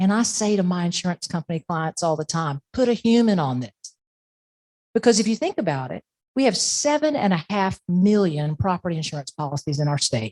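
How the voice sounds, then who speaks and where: A woman with an American accent speaks at a fairly quick pace in a dark, mellow tone and fairly low pitch. Her pitch swings very widely, and the sound is dry and close with no echo. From Florida, Plant City. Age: 60s. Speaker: podcast host, insurance expert. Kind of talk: presentation; podcast intro. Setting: stage with audience. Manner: conversational.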